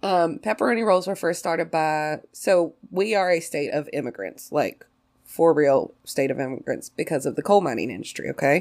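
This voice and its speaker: Speaking in a West Virginia accent at a moderate pace, this voice has an animated tone and lively intonation on a very clean recording with a silent background. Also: woman, fairly low pitch for a woman. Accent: Appalachian West Virginia, noticeable. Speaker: podcast host. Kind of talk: casual chat. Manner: animated, excitable, laughs often.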